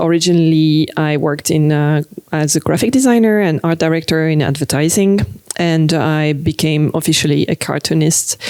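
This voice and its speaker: A woman with a French accent speaks in a very deep, low voice at a moderate pace. Her loudness stays very even, her pitch varies in an ordinary way, and there is noticeable background noise. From France. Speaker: cartoonist. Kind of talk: interview. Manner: hesitant, many fillers.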